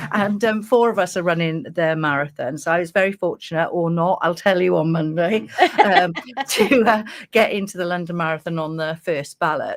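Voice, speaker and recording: Her voice sits fairly low for a woman, with lively intonation at a moderate pace. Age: 60s. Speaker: charity marathon runner, radio station director. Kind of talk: radio interview.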